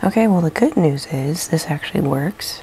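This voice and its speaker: A soft-spoken woman talks at a fairly quick pace in a very deep, low pitch. Noticeable background noise runs underneath. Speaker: wood burning and mixed media artist. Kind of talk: casual vlog chat. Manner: soft-spoken, quiet.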